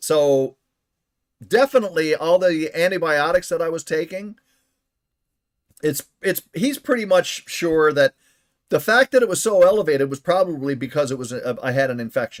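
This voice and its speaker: The speaker is a man with a high pitch. He leaves long, frequent pauses. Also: moderate pace. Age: 60s. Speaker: game streamer. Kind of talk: casual chat. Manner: halting.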